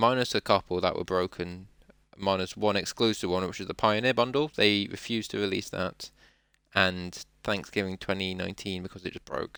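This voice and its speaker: The speech comes at a fairly quick pace with fairly even intonation, in a dry, close sound with no echo. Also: man, fairly low pitch for a man, very clean recording, silent background. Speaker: podcast host. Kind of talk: casual solo podcast talk. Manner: fast.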